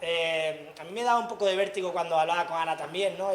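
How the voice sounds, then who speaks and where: A man with an Andalusian accent speaks very fast in a high voice with ordinary pitch variation. Some room echo can be heard. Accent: Andalusian (Granada). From Andalusia, Granada. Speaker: tech industry speaker. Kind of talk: lecture.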